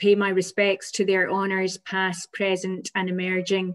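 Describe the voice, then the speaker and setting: A woman speaks with a Scottish accent. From Scotland. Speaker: physiotherapy lecturer. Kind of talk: presentation. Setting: video call.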